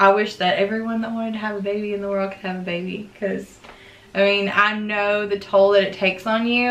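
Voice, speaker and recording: The intonation stays monotone and flat. It belongs to a woman. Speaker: vlogger. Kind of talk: casual vlog chat. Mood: earnest, reflective. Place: home room. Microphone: camera far.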